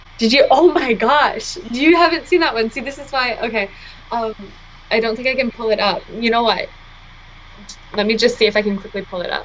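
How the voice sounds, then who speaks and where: A woman's fairly high voice at a fairly quick pace, with long, frequent pauses and noticeable background noise. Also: ordinary pitch variation. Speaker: podcast host. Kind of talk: casual chat. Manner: hesitant, many fillers.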